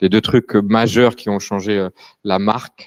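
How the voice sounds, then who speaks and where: The man's fairly low voice, with fairly even intonation, comes through as a dry, close sound with no echo. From France (Paris). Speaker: furniture brand co-founder. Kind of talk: panel talk. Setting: live event with audience. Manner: hesitant, many fillers.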